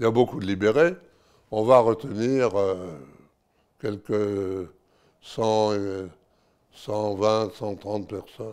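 Against a quiet background, a man speaks at a very slow pace with fairly low pitch. His pitch variation is ordinary, and he takes long, frequent pauses. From France. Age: 90s. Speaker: war witness, former deportee; witness. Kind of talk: testimony. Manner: halting. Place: home room. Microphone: lapel.

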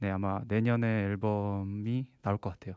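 The speech moves at a moderate pace against a quiet background. The sound is dry with no echo. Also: man. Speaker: singer-songwriter and composer, university student; interviewee. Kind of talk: interview. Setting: studio. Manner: relaxed. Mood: calm, polite. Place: studio. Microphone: handheld.

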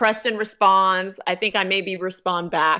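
A woman's unremarkable speaking voice in an American accent, medium in pitch with fairly even intonation, over a quiet background. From Erie, Pennsylvania; Pennsylvania. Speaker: personal development author; podcast guest. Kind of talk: interview. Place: home room. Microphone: studio mic.

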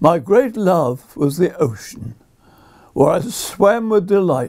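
At a very slow pace, a man with a southern English accent speaks in a high pitch with a dark, mellow tone. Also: quiet background. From southern England, Brighton; southern England. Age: 80s+. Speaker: poet. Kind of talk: reading aloud. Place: home room.

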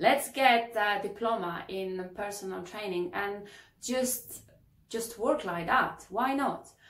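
Audible room echo around a woman's fairly slow speech. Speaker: fitness coach, kitesurf instructor. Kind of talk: casual vlog chat. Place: home room.

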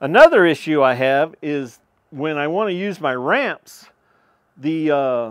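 A fairly slow pace from a man, quiet in the background. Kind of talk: casual vlog chat. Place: open country.

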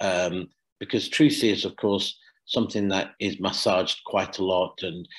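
A man with a very deep, low pitch speaks at a moderate pace with ordinary pitch variation over a quiet background. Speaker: charity executive director and climate justice campaigner. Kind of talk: lecture; Q&A answers. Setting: video call. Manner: halting with many repetitions. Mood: earnest, forceful. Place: home room. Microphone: webcam.

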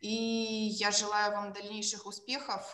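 Recorded with audible room echo against a quiet background, a woman speaks. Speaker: law scholar; conference presenter. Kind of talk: academic presentation. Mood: polite, formal. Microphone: video call.

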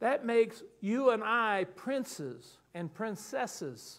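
This man has a high pitch and a slight Southern US accent. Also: quiet background. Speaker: pastor. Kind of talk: sermon. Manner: animated. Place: church. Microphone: lapel.

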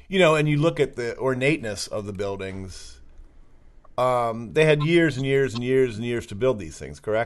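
An ordinary speaking voice in an American accent, with lively intonation, a moderate pace and big swings in loudness. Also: man, medium pitch for a man. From Maryland. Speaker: podcast host. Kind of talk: interview.

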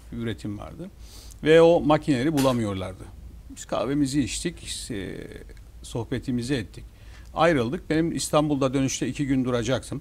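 Speaking at a moderate pace, a man's loudness swings widely. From Northern Cyprus, İskele; Northern Cyprus. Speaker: newspaper owner and businessman; newspaper owner. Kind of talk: TV talk show interview. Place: studio. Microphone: lapel.

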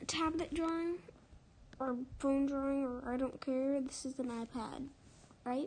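Speech at a fairly slow pace, with ordinary pitch variation. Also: woman. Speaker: digital artist. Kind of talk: casual drawing tutorial narration.

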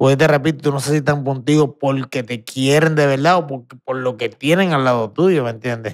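With a normal speaking voice, a man talks at a moderate pace with fairly high pitch and fairly even intonation against a quiet background. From Puerto Rico. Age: 40s. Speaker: retired professional boxer; podcast guest. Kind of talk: casual interview chat. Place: studio. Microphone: studio mic.

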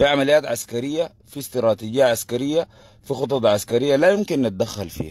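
A medium-pitched man's voice with lively intonation at a moderate pace. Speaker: political commentator. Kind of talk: livestream commentary. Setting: live stream. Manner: animated.

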